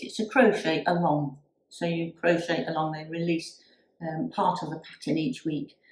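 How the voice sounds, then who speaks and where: At a moderate pace, a woman speaks in a fairly low, somewhat breathy voice. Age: 60s. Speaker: YouTuber and crafter. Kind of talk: casual vlog talk. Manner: hesitant, with many fillers.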